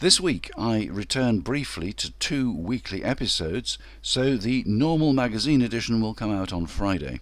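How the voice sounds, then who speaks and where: Using a normal speaking voice, a man talks at a moderate pace and medium pitch with lively intonation and hardly any pauses, on a very clean recording with a silent background. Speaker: podcast host. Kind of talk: scripted narration.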